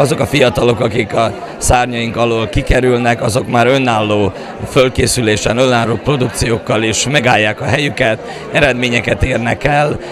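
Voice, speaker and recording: A man with a medium-pitched voice talks at a moderate pace, with noticeable background noise and audible echo in the room. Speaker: folk dance teacher and choreographer. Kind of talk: interview. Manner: halting, many fillers.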